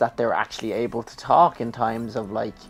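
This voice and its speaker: In a Dublin accent, a man speaks at medium pitch. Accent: Dublin Irish. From Ireland, Dublin. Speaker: gaming YouTuber. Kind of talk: casual chat during let's play.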